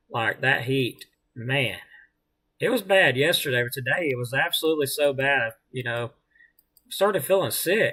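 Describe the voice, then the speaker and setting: This man speaks in a Southern US accent at a moderate pace. His intonation is lively, with long, frequent pauses. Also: fairly high pitch for a man. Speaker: amateur weather livestreamer. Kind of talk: live weather commentary. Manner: casual, hesitant with fillers.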